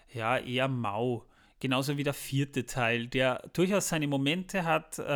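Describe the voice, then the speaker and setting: Here is a plain, everyday voice from a man speaking at a fairly slow pace. His pitch varies in an ordinary way, and the recording is very clean with a silent background. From Austria. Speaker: podcast host. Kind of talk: casual chat. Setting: kitchen, later studio.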